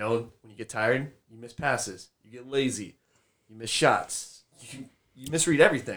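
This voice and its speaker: A man with an ordinary speaking voice talks at a moderate pace and medium pitch. His loudness swings widely while his pitch varies in the ordinary way. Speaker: strength coach. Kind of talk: casual chat.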